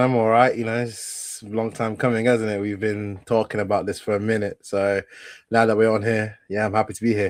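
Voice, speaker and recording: In an English accent, a man talks at a fairly quick pace and medium pitch against a quiet background. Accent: doesn't sound Italian, English-sounding. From northern Italy, Vicenza. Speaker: football content creator. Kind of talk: casual chat.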